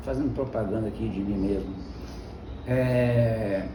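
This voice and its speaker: There is audible room echo as a man speaks. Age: 60s. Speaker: pastor and Greek teacher. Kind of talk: informal devotional talk. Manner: conversational.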